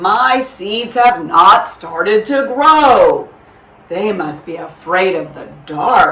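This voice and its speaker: Using a put-on character voice, a woman speaks at medium pitch and a very slow pace. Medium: read story. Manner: earnest, fretful.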